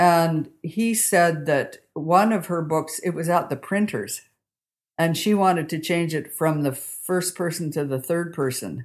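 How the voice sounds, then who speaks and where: A woman with a Canadian accent speaks fairly slowly in a fairly low pitch with ordinary pitch variation, on a very clean recording with a silent background. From Calgary, Alberta, Canada. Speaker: novelist. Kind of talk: interview. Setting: living room at home. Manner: unassuming, open; halting, many fillers.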